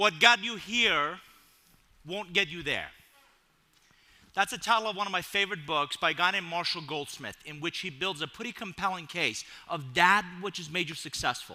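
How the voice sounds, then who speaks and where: A man's animated voice with a Persian accent, bright and sharp in tone, at a moderate pace with ordinary pitch variation. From Iran. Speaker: keynote speaker. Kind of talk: keynote speech. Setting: stage with audience.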